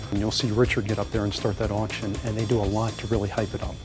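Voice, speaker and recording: Over music in the background, a man talks at a fairly quick pace with a fairly low pitch. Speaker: local contractor. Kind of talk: interview answer.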